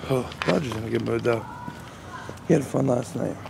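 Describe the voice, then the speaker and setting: A man at a moderate pace, dry sound with no echo, noticeable background noise behind him. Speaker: vlogger. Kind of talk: casual vlog chat.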